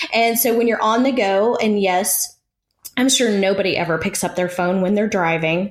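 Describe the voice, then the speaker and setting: This woman speaks at a moderate pace in a medium pitch, with ordinary pitch variation and very even loudness. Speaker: podcast co-host. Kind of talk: casual chat.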